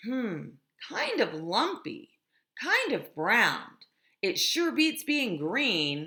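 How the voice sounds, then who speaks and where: A put-on character voice, very slow, with very wide swings in pitch. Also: woman, high pitch for a woman. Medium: read story.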